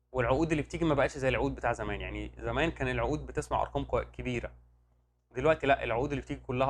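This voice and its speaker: Here a man with an Egyptian accent talks at a very fast pace in an animated tone. His pitch is fairly low, with vocal fry. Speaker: medical rep career advisor, YouTuber. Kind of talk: casual Q&A monologue. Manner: loud.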